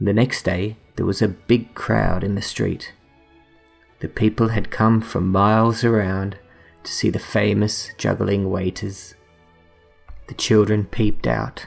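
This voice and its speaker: A man speaks quietly and calmly in a fairly low, flat, monotone voice, pausing long and often. Music plays in the background. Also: fairly slow pace. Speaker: bedtime story reader. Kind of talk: bedtime story reading. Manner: calm, quiet.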